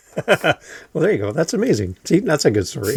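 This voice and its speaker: A man's fairly quick speech in a Canadian accent, with very wide pitch swings and vocal fry. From Canada. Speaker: podcast host and editor. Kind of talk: interview. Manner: animated.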